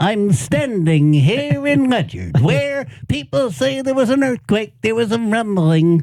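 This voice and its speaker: Put-on character voice with very wide pitch swings and hardly any pauses. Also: man, high pitch for a man, fairly slow pace. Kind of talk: formal, broadcast. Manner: pretend news-anchor delivery.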